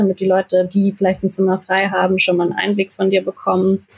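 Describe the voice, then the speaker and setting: A woman speaks at a fairly quick pace in a somewhat breathy voice of medium pitch. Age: 20s. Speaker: film university student, podcast co-host. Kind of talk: casual chat.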